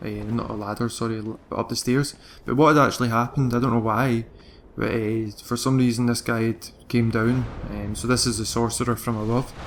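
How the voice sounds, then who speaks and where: A man speaks in a Glaswegian accent. His pitch is medium and his pace fairly quick. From Scotland, Glasgow. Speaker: video game guide creator. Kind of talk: gameplay commentary tutorial. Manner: fast; hesitant, many fillers.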